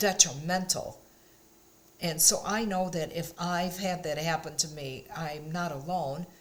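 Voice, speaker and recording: Somewhat breathy and fairly low-pitched, this woman talks at a fairly slow pace with fairly even intonation. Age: 70s. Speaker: lifestyle vlogger. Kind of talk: casual talk to camera. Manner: warm, encouraging.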